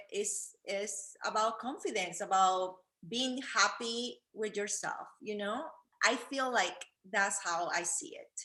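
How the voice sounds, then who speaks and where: Speaking very slowly in a Peruvian accent, a woman uses a fairly high pitch, ordinary pitch variation and a bright, sharp tone. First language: Spanish. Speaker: fashion influencer, wheelchair user. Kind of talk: casual interview. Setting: video call from living room. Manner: halting.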